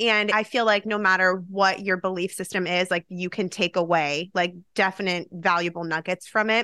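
A woman's bright, sharp tone at a moderate pace, with hardly any pauses and fairly even intonation, on a very clean recording with a silent background. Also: medium pitch for a woman. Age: 30s. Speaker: productivity coach and podcast host. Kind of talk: casual interview chat.

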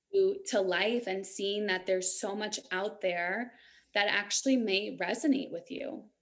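Moving fairly slowly, an unremarkable speaking voice shows ordinary pitch variation. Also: woman, medium pitch for a woman. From New York. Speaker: Reiki master and empowerment coach. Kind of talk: casual interview chat.

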